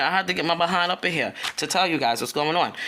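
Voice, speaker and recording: A loud woman's voice with a bright, sharp tone. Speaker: spiritual content creator. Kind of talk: casual spiritual talk video. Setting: at home early morning, children asleep. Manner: casual, chatty with filler words.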